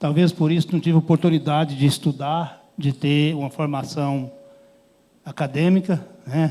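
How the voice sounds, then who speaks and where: A man is speaking. His pace is fairly slow. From Brazil, Goiás (Rubiataba). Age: 60s. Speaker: rural workers' union leader. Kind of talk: conference panel talk. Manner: plain, unpolished speech with hesitations.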